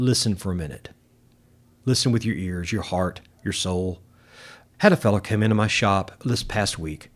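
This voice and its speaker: The speaker has a Southern US accent and a moderate pace. The recording is very clean, the background silent. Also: man. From US South, Arkansas. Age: 60s. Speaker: guitar shop owner and musician. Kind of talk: casual interview chat. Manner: halting, many repeated words.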